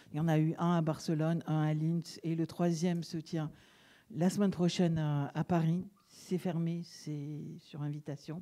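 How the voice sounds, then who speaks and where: At a fairly slow pace, a woman speaks with a fairly low pitch, a dark, mellow tone and monotone, flat intonation. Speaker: event host. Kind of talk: event introduction. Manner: hesitant, many fillers.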